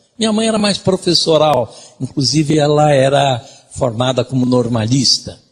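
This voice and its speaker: A man with a somewhat breathy voice speaks at a fairly slow pace with lively intonation. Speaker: lecturer. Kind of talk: lecture.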